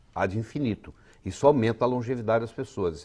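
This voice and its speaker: At a fairly quick pace, a man talks in a normal speaking voice with a medium pitch. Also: very clean recording, silent background. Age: 60s. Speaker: physician. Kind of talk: interview.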